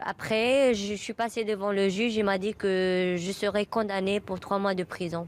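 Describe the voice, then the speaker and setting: Hardly pausing at all, a woman speaks at a medium pitch with fairly even intonation. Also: fairly slow pace. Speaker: LGBT interviewee. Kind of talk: interview. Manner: halting.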